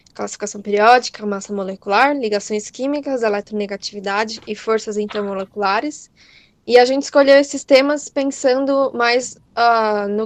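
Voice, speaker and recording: Fairly high-pitched female speech with fairly even intonation, dry and close with no echo, over a quiet background. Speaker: chemistry teacher. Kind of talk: lecture. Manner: fast.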